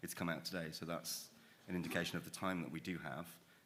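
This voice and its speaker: A man with a very deep, low pitch and a bright, sharp tone speaks at a very fast pace in monotone, flat intonation, with audible room echo. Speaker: rail infrastructure expert. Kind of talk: panel discussion. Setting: stage with audience.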